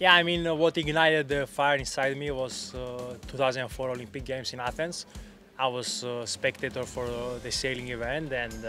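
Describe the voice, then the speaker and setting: Faint music plays in the background as a man speaks at a moderate pace with fairly even intonation, the sound dry with no echo. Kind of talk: interview answer. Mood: calm, reflective. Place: waterside. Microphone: handheld.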